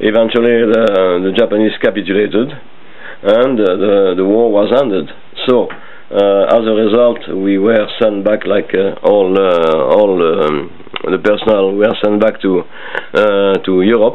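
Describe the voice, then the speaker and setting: A man with a French accent, fairly low in pitch, at a fairly slow pace with fairly even intonation and very even loudness, over noticeable background noise. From French Indochina. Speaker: interviewee recalling his life. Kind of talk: family oral history interview. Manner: halting with many fillers.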